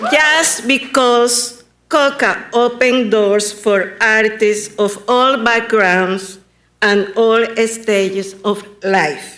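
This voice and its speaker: A woman's fairly high voice with a bright, sharp tone, very slow pace, ordinary pitch variation and very even loudness, in audible room echo. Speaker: local artist, public commenter. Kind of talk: public comment at council meeting. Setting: county commission meeting.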